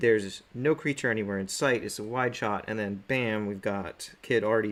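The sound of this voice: An unforced reading voice carries through the clip.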